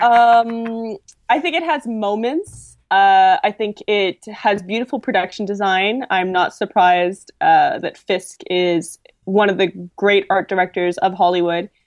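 A woman with a normal speaking voice, medium pitch and a fairly slow pace. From Quebec, Canada. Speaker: film writer. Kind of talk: casual chat.

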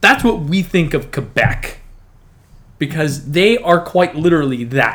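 With a Canadian accent and a plain, everyday voice, a man speaks fairly slowly at a fairly high pitch with lively intonation. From northern Canada. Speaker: guest co-host. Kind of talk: casual chat.

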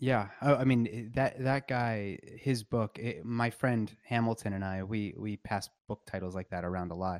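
With hardly any pauses, a man talks at a moderate pace in an ordinary speaking voice of medium pitch and ordinary pitch variation, on a very clean recording with a silent background. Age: 30s. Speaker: obstetrician and palliative care doctor. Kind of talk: casual chat.

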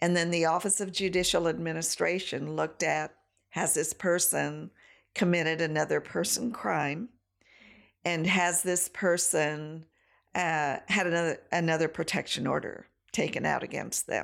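A woman with an American accent, fairly low pitch and vocal fry, at a moderate pace with fairly even intonation, in a very clean recording with a silent background. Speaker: domestic violence program director. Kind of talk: casual chat.

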